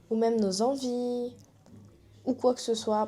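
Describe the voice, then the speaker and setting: A woman's fairly slow, monotone, flat delivery. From Réunion. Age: 20s. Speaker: YouTuber. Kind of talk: personal vlog. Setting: to camera.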